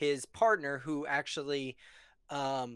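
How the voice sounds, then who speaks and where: The speech is mumbled at a very slow pace, with ordinary pitch variation. The recording is very clean, with a silent background. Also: man. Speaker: movie discussion podcast co-host. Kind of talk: casual chat on live stream. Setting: live stream. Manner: mumbles easily, over-enunciates; adds extra sounds to words.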